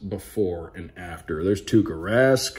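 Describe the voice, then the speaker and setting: Upbeat and enthusiastic, a man speaks at a fairly slow pace with vocal fry and very wide pitch swings. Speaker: radio play-by-play broadcaster. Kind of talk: casual talk to camera. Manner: upbeat, enthusiastic. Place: home room. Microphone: phone near.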